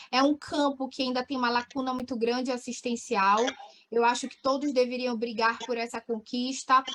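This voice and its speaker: A woman's high voice in a monotone, flat intonation at a moderate pace, with big swings in loudness and noticeable background noise. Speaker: physiotherapy lecturer. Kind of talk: webinar Q&A.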